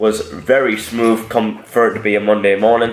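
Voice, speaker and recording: Over music in the background, a man with a British accent speaks at a moderate pace in a medium pitch. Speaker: powerlifter vlogger. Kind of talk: voiceover commentary.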